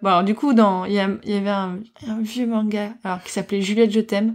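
A woman speaks at a fairly quick pace. The recording is very clean, with a silent background. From Morocco. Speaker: podcaster. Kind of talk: personal testimony. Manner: halting.

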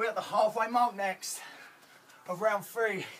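A man speaks with fairly even intonation. There is light background noise behind him. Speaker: fitness instructor. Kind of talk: workout coaching. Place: garden.

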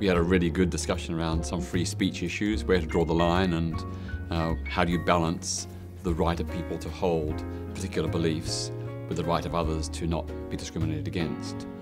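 A man speaks at a fairly quick pace. Music is clearly heard behind him. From Australia. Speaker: human rights campaigner. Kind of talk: interview answer. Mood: calm, reflective. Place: hall. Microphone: lapel.

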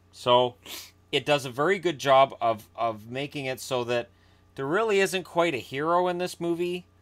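This man talks at a moderate pace. His pitch shows ordinary variation. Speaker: movie vlogger. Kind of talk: casual vlog commentary. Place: home room. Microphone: webcam.

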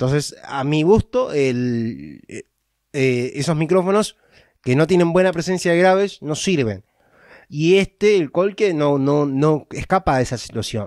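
In a dry, close recording with no echo and a silent background, very clean throughout, a man with a fairly high pitch speaks at a fairly slow pace with lively intonation. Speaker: YouTuber giving tech advice. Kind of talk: tutorial. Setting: home recording setup. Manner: halting.

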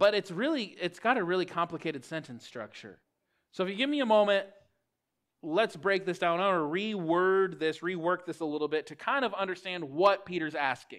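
Against a quiet background, a man speaks in a high voice. His pace is fairly quick. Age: 30s. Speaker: pastor. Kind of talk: sermon. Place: church.

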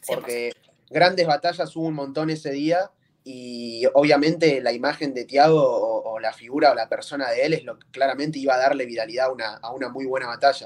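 With ordinary pitch variation, a man speaks at a fairly high pitch, his loudness making big swings. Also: fairly quick pace. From Bahía Blanca, Buenos Aires province, Argentina. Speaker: freestyle rapper. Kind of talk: interview. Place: home room. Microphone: video call.

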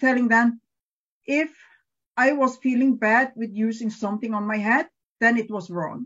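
Against a quiet background, a woman talks at a fairly high pitch with ordinary pitch variation. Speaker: evangelist. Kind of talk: online panel talk. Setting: video call. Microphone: video call.

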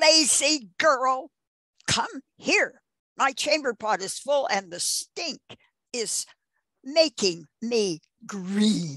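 Against a quiet background, a woman uses a shrill, high put-on character voice with very wide pitch swings, speaking very slowly with long, frequent pauses. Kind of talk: reading a character's line in an interview. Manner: demanding, irritable.

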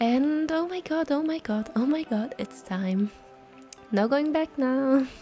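Over music in the background, a woman with a non-native accent and a high voice speaks at a very slow pace with lively intonation. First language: non-native English speaker. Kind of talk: casual vlog voiceover. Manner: casual, hesitant.

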